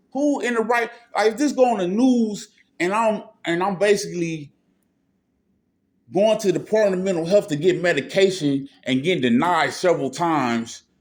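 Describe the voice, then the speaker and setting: Loud and high-pitched, a man speaks with very wide pitch swings. He leaves long, frequent pauses. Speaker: mental health patient filming a confrontation. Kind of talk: heated argument. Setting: mental health clinic office. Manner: agitated, fast.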